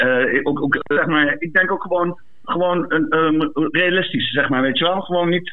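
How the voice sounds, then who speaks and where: With a high pitch for a man, he talks at a fairly slow pace and very even loudness over noticeable background noise. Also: ordinary pitch variation. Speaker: caller. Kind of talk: casual chat. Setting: phone call.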